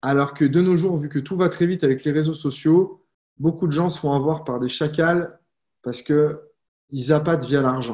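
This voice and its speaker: A man speaks at a moderate pace in a fairly high pitch for a man, with ordinary pitch variation. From France, Lyon. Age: 30s. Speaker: network marketing coach. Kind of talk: live stream talk. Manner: casual, conversational.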